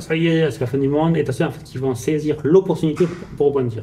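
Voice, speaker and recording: Here a man with a fairly high voice talks fairly quickly, his pitch varying in an ordinary way. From France, Portuguese family. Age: 30s. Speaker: salesman, sales manager. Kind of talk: podcast interview, life story. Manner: casual, many fillers.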